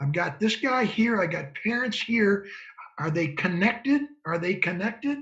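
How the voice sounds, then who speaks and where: A man talks at a moderate pace with an American accent. His pitch swings very widely. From Michigan, Ann Arbor. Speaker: former football scout and college coach. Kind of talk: interview conversation.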